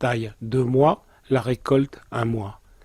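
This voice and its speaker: The man talks at a very slow pace in a medium pitch, his tone dark and mellow with ordinary pitch variation. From Alpes de Haute-Provence, France. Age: 70s. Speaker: olive grower, former photographer. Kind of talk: interview monologue.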